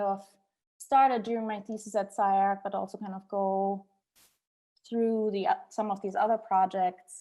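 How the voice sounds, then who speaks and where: In a very clean recording with a silent background, a woman speaks at a fairly slow pace in a monotone, flat intonation. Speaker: architect, former architecture student. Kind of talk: lecture. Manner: halting.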